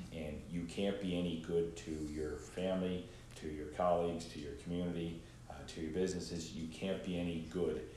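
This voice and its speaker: Amid audible room echo, a man speaks at a moderate pace in a very deep, low pitch with monotone, flat intonation. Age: 50s. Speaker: entrepreneur and former school principal. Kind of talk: casual interview. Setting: studio.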